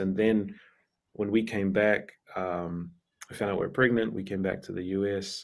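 Recorded very cleanly against a silent background, a man with a fairly low pitch talks with a New Zealand accent. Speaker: pastor. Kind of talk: casual interview chat.

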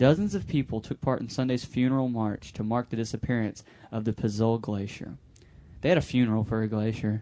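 His tone comes across as dark and mellow. The man's pitch is medium. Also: ordinary pitch variation, fairly quick pace. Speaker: podcast co-host. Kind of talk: casual chat. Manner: animated.

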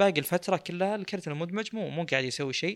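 Over a silent background in a very clean recording, a man talks with ordinary pitch variation. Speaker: tech podcast host. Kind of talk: casual chat.

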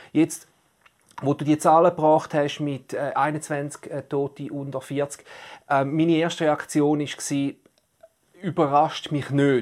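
Long, frequent pauses break up delivery that moves at a very slow pace. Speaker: podcast co-host. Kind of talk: casual discussion.

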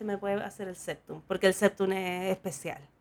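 This is a woman speaking with a Chilean accent. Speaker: podcast host and tattoo artist. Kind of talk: casual chat.

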